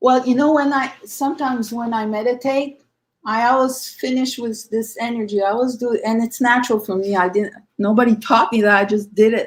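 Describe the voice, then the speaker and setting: In an unremarkable speaking voice, the words come at a fairly quick pace with fairly even intonation. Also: woman, fairly high pitch for a woman. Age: 60s. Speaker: conference speaker, medium. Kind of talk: panel discussion.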